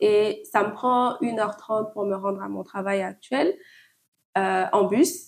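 Her medium-pitched speech shows ordinary pitch variation, the voice a woman's. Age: 20s. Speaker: podcast guest. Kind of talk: casual chat. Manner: halting.

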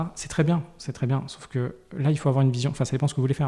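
On a very clean recording with a silent background, a man with a fairly high pitch sounds somewhat breathy, with a dark, mellow tone. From Paris. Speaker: personal finance guest, frugalism advocate. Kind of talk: interview. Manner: hesitant, many fillers.

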